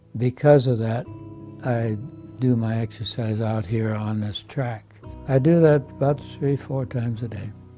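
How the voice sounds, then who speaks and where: With music in the background, a man in an American accent talks at a fairly slow pace and with fairly even intonation. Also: medium pitch for a man. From Iowa, USA. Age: 80s+. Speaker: retired Navy veteran, nursing home resident. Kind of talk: testimonial interview answer.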